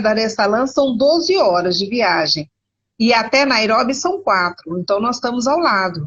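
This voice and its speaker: The speech moves at a fairly slow pace, with very even loudness and very wide pitch swings. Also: woman. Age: 60s. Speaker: missionary and historian. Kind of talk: interview conversation. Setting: video call from internet cafe. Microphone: unstable connection.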